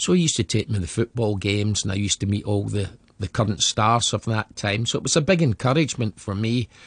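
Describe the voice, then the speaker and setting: A man with a west of Scotland accent talks very fast with hardly any pauses, his fairly low voice somewhat breathy and varying in pitch in an ordinary way. The sound is dry and close with no echo, over a quiet background. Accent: Scottish (west of Scotland). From Scotland, Glasgow area. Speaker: former professional footballer. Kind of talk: interview, life story.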